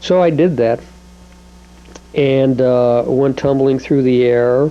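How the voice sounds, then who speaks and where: A man's voice over noticeable background noise. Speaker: home video maker. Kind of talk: personal home video monologue. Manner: halting, many filler words.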